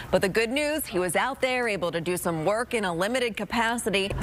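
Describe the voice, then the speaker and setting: Over noticeable background noise, a woman talks at a very fast pace. Her medium pitch moves with lively intonation. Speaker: TV reporter and news anchor. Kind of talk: TV news reporting.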